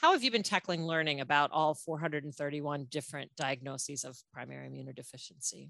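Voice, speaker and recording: Moving at a fairly quick pace with hardly any pauses, a woman speaks at a very deep, low pitch with ordinary pitch variation and vocal fry. Her tone is bright and sharp, and her loudness swings widely. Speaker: podcast host. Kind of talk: interview Q&A.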